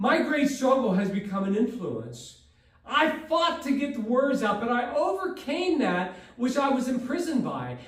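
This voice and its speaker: This man's pitch is extremely high, with lively intonation at a moderate pace. Background noise is noticeable. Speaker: public speaking student. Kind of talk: prepared speech.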